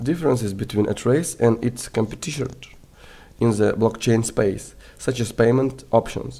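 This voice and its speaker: Speaking at a moderate pace, a man uses a medium pitch and a dark, mellow tone. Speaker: crypto project reviewer. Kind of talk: product review. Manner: hesitant, frequent fillers.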